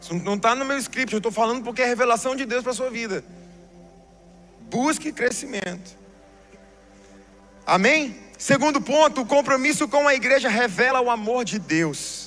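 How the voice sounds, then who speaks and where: Over music in the background, a man with an extremely high pitch and ordinary pitch variation talks at a moderate pace, with long, frequent pauses. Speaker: pastor. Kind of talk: sermon.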